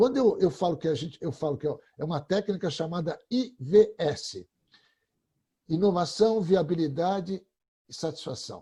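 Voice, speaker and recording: In a very clean recording with a silent background, a man talks at a moderate pace in a high pitch, with a dark, mellow tone and lively intonation. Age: 60s. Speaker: creativity expert. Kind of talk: panel discussion.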